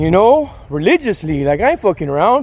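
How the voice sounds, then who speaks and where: At a moderate pace, a man is speaking. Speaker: fitness vlogger. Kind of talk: casual vlog chat. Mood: cheerful, laughing, candid. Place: street. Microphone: phone near.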